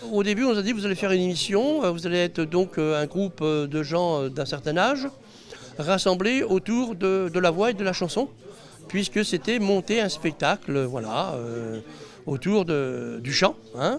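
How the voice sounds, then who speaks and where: Speaking at a fairly slow pace, a man with a high voice lets his pitch swing very widely. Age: 60s. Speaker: inventor, reality TV participant. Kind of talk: interview. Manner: hesitant, many fillers.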